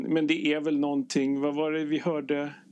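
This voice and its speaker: Against a silent background, a man's voice is captured on a very clean recording. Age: 30s. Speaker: intensive care nurse. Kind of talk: casual chat. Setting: ship cabin. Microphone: poor sound quality.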